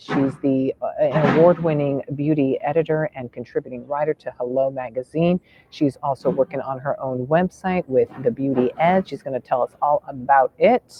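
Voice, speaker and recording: A man with fairly high pitch and ordinary pitch variation, at a moderate pace with hardly any pauses, over noticeable background noise. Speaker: podcast host. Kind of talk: casual interview talk. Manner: energetic, casual.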